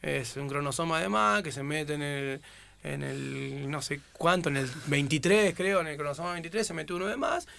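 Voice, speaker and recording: Over a very clean recording with a silent background, a man uses an ordinary speaking voice at a moderate pace and a fairly high pitch. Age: 30s. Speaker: footballer. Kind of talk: casual chat.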